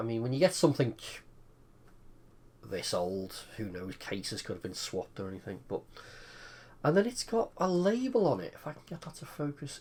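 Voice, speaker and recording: A speaker with an English accent talks at a fairly quick pace, broken by long, frequent pauses. Loudness swings widely, and pitch swings very widely. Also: man, fairly high pitch for a man. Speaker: retro computer hobbyist. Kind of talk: casual tutorial.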